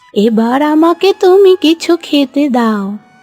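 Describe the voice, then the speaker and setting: Faint music plays in the background behind a cartoonish character voice that swings very widely in pitch. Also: woman, high pitch for a woman. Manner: calm, knowing.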